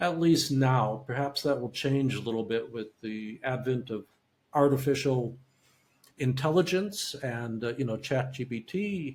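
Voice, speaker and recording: The voice is somewhat breathy and moves at a fairly slow pace. Its pitch varies in an ordinary way. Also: man, medium pitch for a man. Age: 70s. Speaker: neuromonitoring specialist and audiologist. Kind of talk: interview. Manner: halting.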